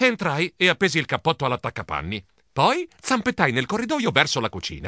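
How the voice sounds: Reading done in a natural voice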